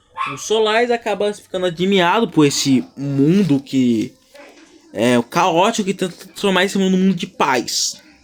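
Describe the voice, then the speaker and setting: With noticeable background noise behind him, a man speaks in a high pitch with an animated tone. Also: moderate pace. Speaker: creator explaining own fictional universe. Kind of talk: casual vlog monologue. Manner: halting.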